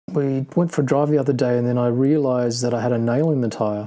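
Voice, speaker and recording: The speaker talks at a fairly quick pace with an Australian accent and fairly even intonation. There is noticeable background noise. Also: man. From Australia (Sydney). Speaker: podcast co-host, car enthusiast. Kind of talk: casual chat. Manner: monotone.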